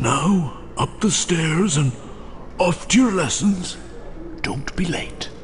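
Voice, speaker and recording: Put-on character voice at middle pitch, very slow pace, long, frequent pauses, clear background noise. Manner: brisk, commanding.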